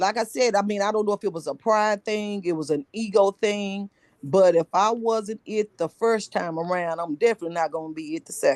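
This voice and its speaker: Talking at a fairly quick pace with hardly any pauses, a woman of medium pitch has a plain, everyday voice with ordinary pitch variation in a dry, close sound with no echo. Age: 60s. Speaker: book study group participant. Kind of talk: casual group discussion, personal sharing.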